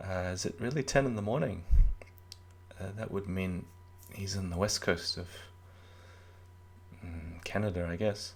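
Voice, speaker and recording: A soft-spoken man with a very deep, low voice, at a moderate pace with long, frequent pauses. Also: ordinary pitch variation. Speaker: chess commentator. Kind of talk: live commentary.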